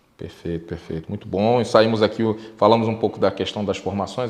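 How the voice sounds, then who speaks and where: With fairly even intonation and a fairly low pitch, a man rushes along at a very fast pace. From Brazil. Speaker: podcast host. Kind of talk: interview. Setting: studio.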